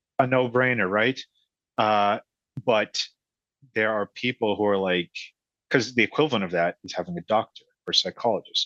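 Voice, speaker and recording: A man with an American accent and a bright, sharp tone speaks at a moderate pace with ordinary pitch variation, the sound dry and close with no echo against a quiet background. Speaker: entrepreneur and single father. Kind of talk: casual interview. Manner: halting, with fillers.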